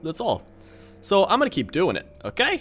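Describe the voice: Here we have plain reading aloud.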